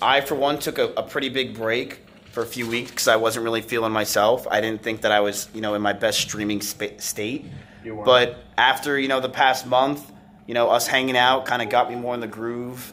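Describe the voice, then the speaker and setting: Fairly quick, monotone, flat delivery over light background noise. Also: man. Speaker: streamer. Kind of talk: casual vlog chat. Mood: relaxed, reflective. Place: office. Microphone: phone near.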